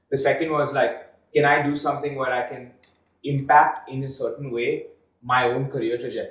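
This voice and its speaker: Room echo is audible as a man speaks at a fairly quick pace. His intonation is monotone and flat, and the background is quiet. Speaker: startup founder. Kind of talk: interview. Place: studio.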